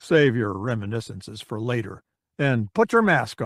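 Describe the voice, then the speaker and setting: On a very clean recording with a silent background, a man puts on a raspy character voice at a medium pitch, with ordinary pitch variation and a moderate pace. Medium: read story. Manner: calm, dry.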